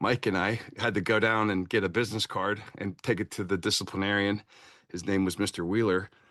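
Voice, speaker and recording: A man with a fairly low pitch and a bright, sharp tone talks at a fairly quick pace in a monotone, flat intonation. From Kentucky and abroad, military family. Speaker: Marine veteran and consultant. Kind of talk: podcast interview. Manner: halting, many repeated words and fillers.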